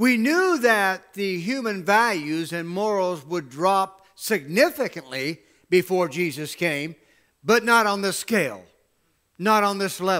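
At a fairly slow pace, a man speaks in a bright, sharp tone against a quiet background. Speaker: pastor. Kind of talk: sermon. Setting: church with livestream camera. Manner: animated, exhortative preaching with call-and-response; emphatic, rhetorical questions and repeated phrases. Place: church.

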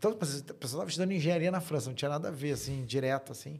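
This man's somewhat breathy voice sits at a fairly high pitch and shows ordinary pitch variation. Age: 40s. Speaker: fintech co-founder and tech executive. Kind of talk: interview, casual chat. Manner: casual, frequent fillers and repetitions.

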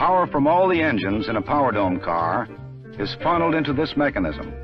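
A man talks at a moderate pace over clear background music. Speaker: film narrator. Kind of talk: documentary narration. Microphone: old recording.

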